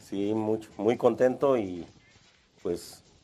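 His voice is dark and mellow, a man's with fairly low pitch and fairly even intonation. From Salvatierra, Guanajuato, Mexico. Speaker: security guard. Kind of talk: interview. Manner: halting.

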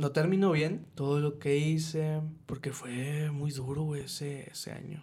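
This man's voice sits fairly high in pitch, somewhat breathy, with a dark, mellow tone. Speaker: podcast host. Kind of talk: personal testimony; casual chat.

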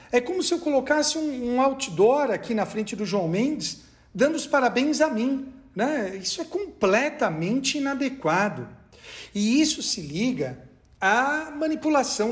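Speaking at a fairly slow pace, a man uses an extremely high pitch with very wide pitch swings. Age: 40s. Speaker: law professor. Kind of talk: casual chat.

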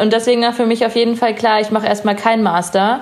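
A woman speaks over noticeable background noise. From Bavaria, Munich and Chiemsee area. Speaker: artist. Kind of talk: casual chat.

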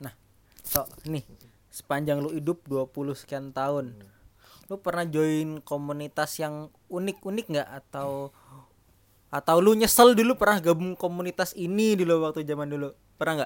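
Speaking with a strong Javanese accent at a moderate pace, a man uses a fairly high pitch, ordinary pitch variation and big swings in loudness. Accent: strong Javanese (medok). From East Java, Jember. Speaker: podcast co-host, banker. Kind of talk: casual chat.

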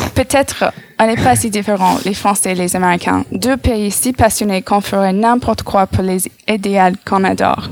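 Noticeable background noise sits behind a woman speaking at a medium pitch in an American accent. Her pace is moderate and her pitch varies in an ordinary way. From United States. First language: English (speaking French). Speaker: radio columnist. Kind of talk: read-out column.

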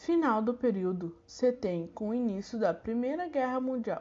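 A woman is speaking. Her intonation is lively. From southern Brazil, Santa Maria. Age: 20s. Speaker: student teacher. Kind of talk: recorded lesson reading.

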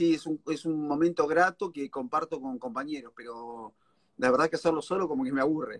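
In a Rioplatense accent, a man talks at a fairly quick pace with fairly high pitch and ordinary pitch variation. The sound is dry and close, with no echo. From Argentina, La Plata. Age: 40s. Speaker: stand-up comedian. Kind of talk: casual interview.

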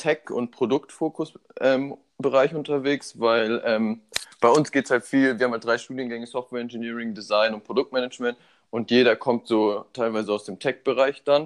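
At medium pitch and a moderate pace, a man uses an ordinary speaking voice with fairly even intonation and a dry, close sound with no echo. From Germany, Munich (Bavaria). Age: 20s. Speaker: student and startup founder. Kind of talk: casual interview.

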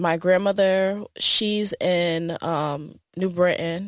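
Speaking at a very slow pace, a woman with a Northeastern US accent keeps a fairly low pitch. Her intonation is monotone and flat. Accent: American, Northeast. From US Northeast. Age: 30s. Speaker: travel consultant and content creator. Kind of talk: casual interview. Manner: many filler words.

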